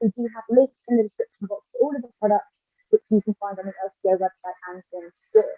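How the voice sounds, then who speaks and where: A woman speaks with a British accent in a dark, mellow tone, recorded with a dry, close sound and no echo. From Britain. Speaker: drinks influencer. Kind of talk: live product showcase. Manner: animated.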